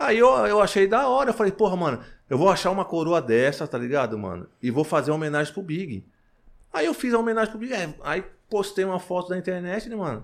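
A man talks at a fairly quick pace in a high pitch, with very wide pitch swings. The recording is very clean, with a silent background. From Paraná, Brazil (Cianorte). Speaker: rapper and clothing entrepreneur. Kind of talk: casual interview. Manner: casual slang-heavy.

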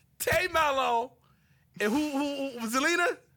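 A man's raised, projected voice, extremely high in pitch and bright and sharp in tone, at a fairly slow pace. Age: 30s. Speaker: wrestling podcast co-host. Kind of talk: casual chat. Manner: animated.

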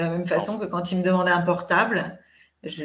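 This woman's voice is fairly low-pitched and somewhat breathy. She speaks at a fairly quick pace. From France, Paris region. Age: 40s. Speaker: podcast guest. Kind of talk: casual chat. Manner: hesitant, many filler sounds.

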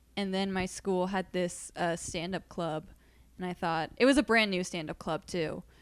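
An unremarkable speaking voice goes at a moderate pace with ordinary pitch variation on a very clean recording with a silent background. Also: woman, medium pitch for a woman. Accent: American. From Massachusetts (Boston area). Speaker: comedian. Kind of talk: casual chat.

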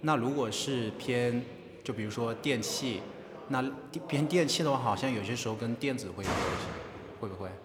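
With noticeable background noise and audible room echo, a man speaks at a medium pitch with ordinary pitch variation and long, frequent pauses. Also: moderate pace. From China. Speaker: podcast host, interviewer. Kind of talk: interview. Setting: on university campus.

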